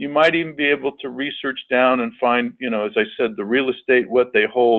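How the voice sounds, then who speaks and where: A man at a medium pitch and a fairly quick pace with ordinary pitch variation. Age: 60s. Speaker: public media general manager, webinar presenter. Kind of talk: webinar presentation. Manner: halting, many repeated words and fillers.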